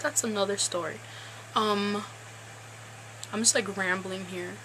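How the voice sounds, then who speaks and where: A woman at a fairly slow pace, with ordinary pitch variation and noticeable background noise. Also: medium pitch for a woman. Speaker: TV show recap vlogger. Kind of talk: casual vlog recap.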